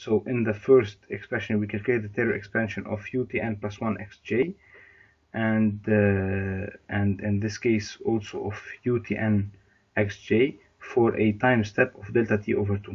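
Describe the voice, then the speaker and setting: A man's somewhat breathy, fairly low voice, flat and monotone, at a moderate pace. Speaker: university lecturer. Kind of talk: lecture. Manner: halting.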